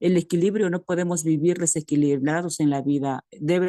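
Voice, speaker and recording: The woman's voice has a dark, mellow tone and fairly even intonation at a moderate pace, recorded dry and close with no echo. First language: Mixtec (Tu'un Savi) (speaking Spanish). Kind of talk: comment in online academic meeting. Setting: video call from rural community. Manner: halting, many fillers.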